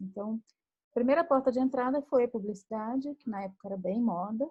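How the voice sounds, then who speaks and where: Delivered fairly fast, the speech shifts in pitch by an ordinary degree. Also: woman. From Brazil, Minas Gerais. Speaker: writer and screenwriter. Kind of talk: casual chat.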